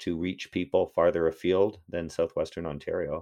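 With a Canadian accent, a man speaks at a moderate pace. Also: quiet background. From Toronto, Canada. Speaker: history professor. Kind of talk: casual interview. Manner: halting, many repetitions; animated.

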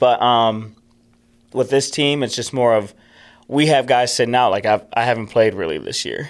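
A man talks at a moderate pace in a plain, everyday voice with ordinary pitch variation. The recording is very clean, with a silent background. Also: medium pitch for a man. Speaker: ice hockey player. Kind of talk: casual interview.

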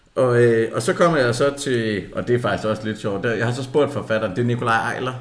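The speech runs at a fairly quick pace with ordinary pitch variation, and noticeable background noise sits behind it. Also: man. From South Jutland, Denmark. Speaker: football podcast co-host. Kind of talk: casual chat.

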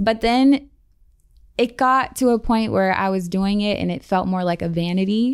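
A woman with a plain, everyday voice speaks at a moderate pace and medium pitch, with ordinary pitch variation, on a very clean recording with a silent background. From US Midwest, Columbus, Ohio. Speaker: fashion model and mentor. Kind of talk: casual interview chat.

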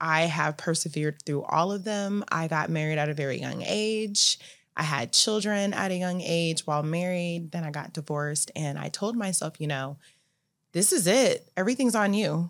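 In an unremarkable speaking voice, a woman with an American accent talks at a fairly low pitch and a moderate pace with ordinary pitch variation, on a very clean recording with a silent background. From Phoenix, Arizona, US. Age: 40s. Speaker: salon owner, entrepreneur. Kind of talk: interview testimony.

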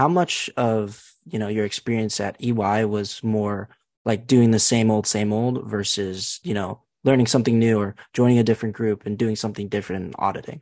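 An ordinary speaking voice from a man, fairly low-pitched and fairly quick, with fairly even intonation, a dry, close sound with no echo, and a quiet background. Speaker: student podcast host. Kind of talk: interview.

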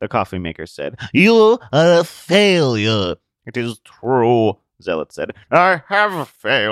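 Against a quiet background, this is plain reading aloud.

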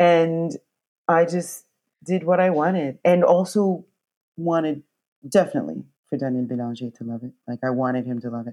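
A woman with a Canadian accent speaks at a moderate pace in a very deep, low pitch with a dark, mellow tone. Her intonation is lively, her loudness swings widely, and she takes long, frequent pauses. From New Brunswick, Canada. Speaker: opera singer. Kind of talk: casual interview chat. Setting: remote call from rural home.

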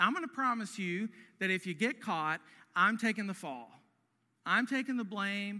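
This is someone reading aloud in a natural voice. The reading carries through the whole clip.

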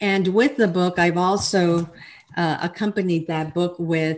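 A woman speaks in a plain, everyday voice at a fairly low pitch with ordinary pitch variation. The recording is very clean, with a silent background. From Texas, El Paso. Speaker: life coach and author. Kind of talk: interview.

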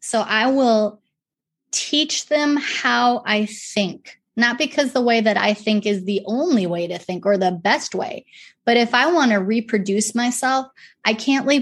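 A woman with a fairly high pitch talks at a fairly slow pace, with ordinary pitch variation. She has a normal speaking voice. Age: 40s. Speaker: nonprofit ministry leader. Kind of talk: interview.

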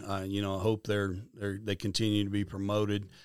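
In a very clean recording with a silent background, a man with a Midwestern American accent and a fairly low pitch speaks at a moderate pace in a monotone, flat intonation. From Kansas. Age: 50s. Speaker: conservation foundation director. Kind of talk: interview.

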